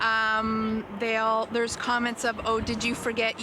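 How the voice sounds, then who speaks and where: Over noticeable background noise, a woman with a fairly high voice talks at a fairly slow pace. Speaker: person who stutters, interviewee. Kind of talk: news interview.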